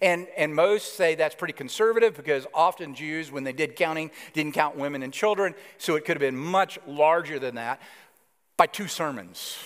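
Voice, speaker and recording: A man speaks at a moderate pace with an Alabama accent. His pitch is fairly high, with ordinary variation. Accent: Southern US (Alabama). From US South, Alabama. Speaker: pastor. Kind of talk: sermon.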